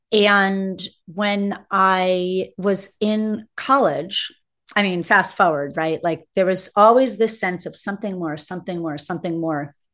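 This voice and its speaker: Against a quiet background, a woman speaks fairly slowly in a normal speaking voice. Her pitch is medium, with ordinary pitch variation. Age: 50s. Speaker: spiritual mentor and educational consultant. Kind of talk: interview conversation.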